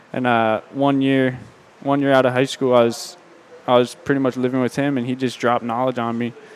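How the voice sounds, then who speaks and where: A man at medium pitch with monotone, flat intonation and a fairly quick pace, over noticeable background noise. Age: 20s. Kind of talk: casual interview chat. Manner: halting, many fillers.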